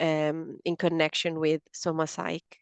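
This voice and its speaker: A woman with an Italian accent speaks at a fairly slow pace in a fairly low pitch, her intonation monotone and flat. The sound is dry and close with no echo, and the background is quiet. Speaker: podcast host. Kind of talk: interview. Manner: halting, with fillers.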